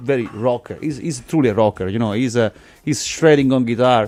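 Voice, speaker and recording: A man's voice with an Italian accent and ordinary pitch variation, with music in the background. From Italy. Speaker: musician. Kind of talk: radio interview. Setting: studio. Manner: halting.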